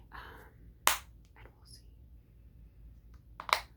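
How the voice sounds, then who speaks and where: A woman whispers while noticeable background noise is heard. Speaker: ASMR creator. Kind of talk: ASMR product haul review, casual talk to camera. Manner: whispered, rambling.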